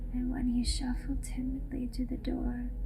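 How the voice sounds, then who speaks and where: Backed by music, a woman speaks at a fairly slow pace with a high pitch and monotone, flat intonation. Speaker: ASMR creator. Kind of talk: horror story reading. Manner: whispered.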